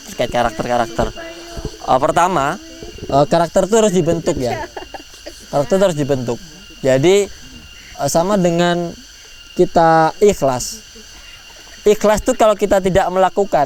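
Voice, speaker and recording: Over noticeable background noise, a man with a high voice and lively intonation speaks with long, frequent pauses. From East Java, Tulungagung. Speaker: lecturer and motivational speaker. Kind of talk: motivational talk with Q&A at student orientation.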